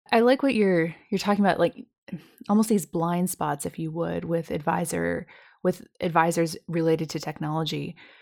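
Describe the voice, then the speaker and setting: Her pitch fairly low with ordinary variation, a woman has a plain, everyday voice and speaks at a moderate pace on a very clean recording with a silent background. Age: 30s. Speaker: podcast host, financial planner. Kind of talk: interview.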